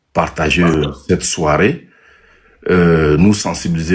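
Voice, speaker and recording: The speaker talks at a very slow pace. Pitch variation is ordinary. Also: man. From Togo. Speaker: entrepreneur and local political candidate. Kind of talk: live interview. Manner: halting, many hesitations.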